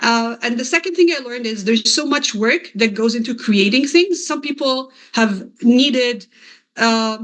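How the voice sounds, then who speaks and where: This woman has a high pitch and speaks at a moderate pace. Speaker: SEO consultant and course creator. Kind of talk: presentation talk. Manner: halting.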